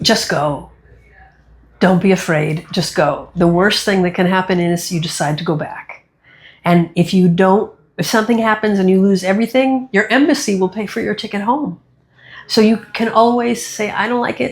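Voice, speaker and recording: With a somewhat breathy voice, a woman talks at a moderate pace. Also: medium pitch for a woman, ordinary pitch variation. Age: 60s. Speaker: magician and human rights activist. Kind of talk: interview.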